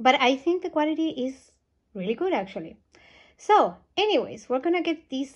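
The intonation is lively, the pace moderate, and the background quiet. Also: woman. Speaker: doll collector vlogger. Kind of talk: casual vlog chat. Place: home room. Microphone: phone near.

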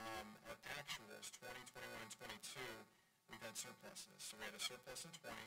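A man talks at a moderate pace over loud music in the background. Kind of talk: financial presentation. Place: meeting room.

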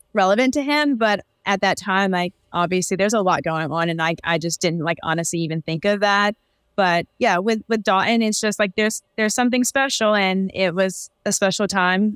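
Against a quiet background with a dry sound and no echo, a woman speaks at a moderate pace with ordinary pitch variation. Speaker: podcast guest. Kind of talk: interview answer. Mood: upbeat, smiling. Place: home room.

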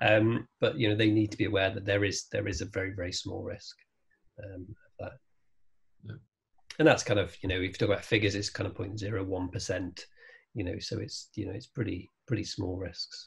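A man speaks fairly low with fairly even intonation and a somewhat breathy voice. The background is quiet. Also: fairly quick pace. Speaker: guest. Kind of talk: interview answer. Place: home room. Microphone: video call.

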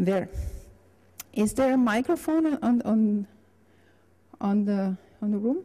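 A woman speaks at a slow pace with lively intonation. Her tone is dark and mellow. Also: medium pitch for a woman.

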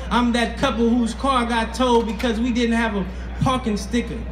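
A man speaks at a moderate pace. Noticeable background noise runs behind him. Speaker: spoken word artist. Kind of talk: spoken word poetry performance. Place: stage.

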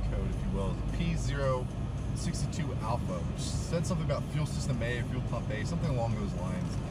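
A man speaks at a moderate pace with music in the background. The sound is dry with no echo. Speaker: car owner vlogger. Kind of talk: casual vlog chat. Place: car. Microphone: camera far.

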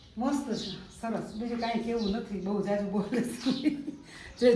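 Against noticeable background noise and audible room echo, a woman speaks in a fairly high voice with an animated tone. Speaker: travel vlogger. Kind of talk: casual travel vlog narration. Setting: outdoors. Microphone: no microphone, may be hard to hear.

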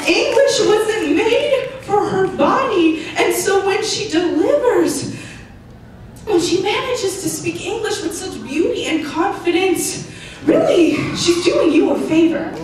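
A woman with an American accent speaks at a fairly slow pace in an extremely high pitch, her intonation lively. Strong room echo surrounds her voice, with light background noise underneath. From United States. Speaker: spoken word poet. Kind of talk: spoken word poetry performance. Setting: live showcase on stage. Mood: earnest, emotional. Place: stage.

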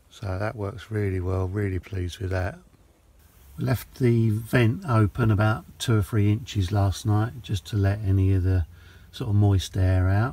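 A man with a fairly low pitch speaks at a fairly slow pace, somewhat breathy, with ordinary pitch variation and a dry sound with no echo. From England. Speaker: travel vlogger. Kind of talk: travel vlog narration. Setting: on the road and at campsites. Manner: casual, chatty. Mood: relaxed, pleased. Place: car. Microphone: phone near.

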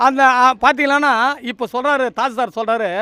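A man uses a raised, projected voice at an extremely high pitch. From Tamil Nadu, Tiruvallur area. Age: 60s. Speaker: local resident, community spokesperson. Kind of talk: street interview, complaint to press.

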